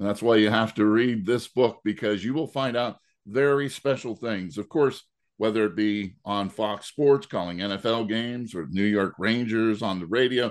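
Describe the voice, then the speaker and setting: A man at medium pitch with ordinary pitch variation and a fairly slow pace, over a quiet background. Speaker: sports radio host. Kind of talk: radio interview. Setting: radio studio. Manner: warm, enthusiastic.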